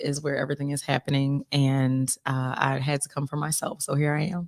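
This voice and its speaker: This woman talks at a moderate pace. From Philadelphia, US. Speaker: singer-songwriter. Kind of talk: casual interview.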